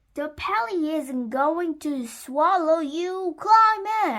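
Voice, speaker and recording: A woman shouting in a put-on character voice, extremely high-pitched and very slow. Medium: read story.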